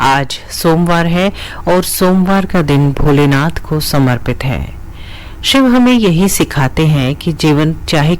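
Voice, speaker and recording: Through noticeable background noise comes a woman's very deep, low-pitched voice. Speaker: radio jockey. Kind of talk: radio morning show hosting.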